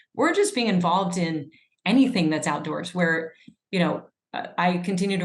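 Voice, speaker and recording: A woman speaks with an American accent at a fairly low pitch. Her voice is somewhat breathy. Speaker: epidemiologist and author. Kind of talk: interview conversation.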